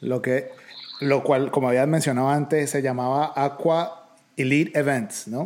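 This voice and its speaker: The man has a normal speaking voice with a fairly high pitch. He talks at a fairly slow pace with fairly even intonation. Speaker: podcast host. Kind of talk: interview conversation.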